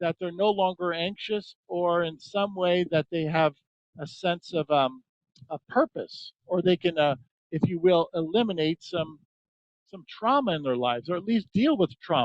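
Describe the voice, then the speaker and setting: Heard with a dry, close sound and no echo, a man speaks in a high pitch. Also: ordinary pitch variation, moderate pace. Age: 60s. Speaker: holistic health practitioner. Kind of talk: interview. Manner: halting.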